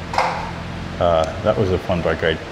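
A man speaks over noticeable background noise. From Canada. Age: 50s. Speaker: travel vlogger. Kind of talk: live stream chat with viewers. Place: cafe. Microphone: phone near.

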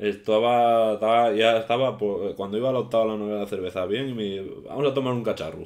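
Hardly pausing, a man talks at a fairly quick pace with fairly even intonation. The background is quiet. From Asturias, Spain. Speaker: YouTuber; youtuber. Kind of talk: casual vlog storytelling. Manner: halting. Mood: relaxed, anecdotal storytelling. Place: home room. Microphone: webcam.

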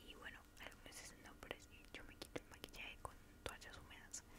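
A woman is speaking. She whispers. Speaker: ASMR creator playing a skincare beautician. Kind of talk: soft roleplay chat to viewer. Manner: soft close-mic ASMR voice. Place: home room. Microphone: studio mic.

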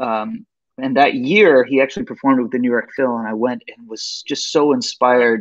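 A man with an American accent at medium pitch and moderate pace, ordinary pitch variation, big swings in loudness, dry sound with no echo and a quiet background. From Austin, Texas. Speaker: violinist. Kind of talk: casual interview. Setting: video call. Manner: animated. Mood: friendly, animated. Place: home room. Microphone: video call.

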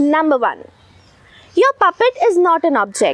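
Pitched extremely high, a woman speaks at a fairly slow pace with very wide pitch swings, in a dry sound with no echo. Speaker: teacher trainer. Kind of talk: educational talk to camera. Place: open country.

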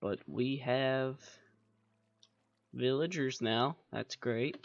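The sound is dry and close with no echo. A man at medium pitch speaks at a very slow pace with fairly even intonation. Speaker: gaming video creator. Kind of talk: gameplay commentary. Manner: casual, thinking aloud.

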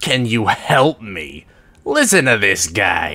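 Using a put-on character voice, a man growls at a medium pitch and a very slow pace. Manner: manic, desperate, mocking.

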